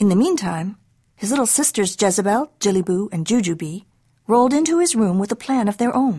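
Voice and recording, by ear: Someone is reading aloud in a natural voice, and the intonation stays lively throughout.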